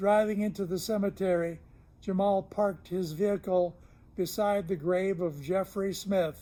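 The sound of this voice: The reading comes in an unforced reading voice, its intonation fairly even.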